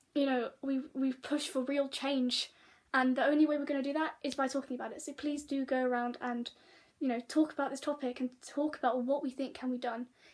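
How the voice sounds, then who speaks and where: A woman's high-pitched voice in a British accent, flat and monotone, at a moderate pace. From Britain. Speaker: vlogger. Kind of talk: casual vlog monologue. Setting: sitting, talking to camera. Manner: halting, many fillers and restarts.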